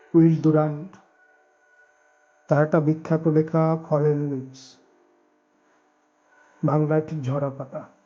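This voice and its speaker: Music plays in the background as a man speaks in a calm tone with a fairly high pitch. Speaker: audiobook narrator. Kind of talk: audiobook reading of philosophical essays. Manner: calm, contemplative.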